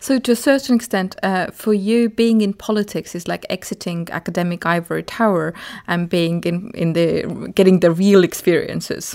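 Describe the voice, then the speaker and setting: A woman speaks in a normal speaking voice at a medium pitch, with ordinary pitch variation and a moderate pace. There are hardly any pauses, and the recording is very clean with a silent background. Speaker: podcast host. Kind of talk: interview.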